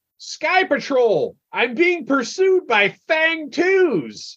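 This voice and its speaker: A high-pitched put-on character voice at a very slow pace. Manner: urgent.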